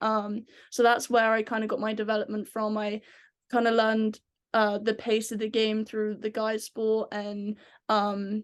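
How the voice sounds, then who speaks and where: Against a quiet background, a woman with a strong English accent speaks in a fairly high, monotone, flat voice. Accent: English, very thick. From England. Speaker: ice hockey player. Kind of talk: podcast interview. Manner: many filler ums.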